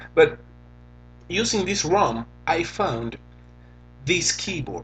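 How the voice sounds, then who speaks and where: A man with a Venezuelan accent speaks at a high pitch with very wide pitch swings. His pace is very slow. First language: Spanish. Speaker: tech reviewer. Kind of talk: tutorial.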